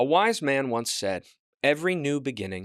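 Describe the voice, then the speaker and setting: A man with an unremarkable speaking voice talks at medium pitch and a moderate pace with lively intonation. The recording is very clean with a silent background. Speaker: podcast host giving a monologue. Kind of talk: podcast monologue to listeners, direct address. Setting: podcast, recorded audio. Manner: wry, humorous, conversational.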